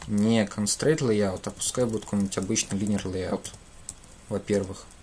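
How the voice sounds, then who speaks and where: Light background noise sits behind a man speaking with a fairly low pitch and fairly even intonation. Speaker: programming teacher; programming streamer. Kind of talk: live coding tutorial. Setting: livestream at computer. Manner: halting, many filler sounds. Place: home room.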